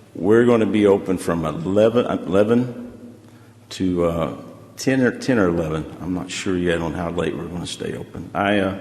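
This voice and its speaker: A man's very deep, low voice with ordinary pitch variation, a moderate pace and audible room echo. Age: 60s. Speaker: restaurant owner. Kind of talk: public hearing testimony. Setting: council chamber. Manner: casual, rambling with fillers.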